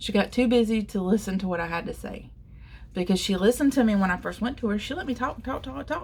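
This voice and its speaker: A woman talks very fast at a fairly high pitch, with vocal fry. Her pitch varies in an ordinary way. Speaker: covid survivor telling personal story. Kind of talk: personal testimony vlog. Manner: rambling, conversational with fillers.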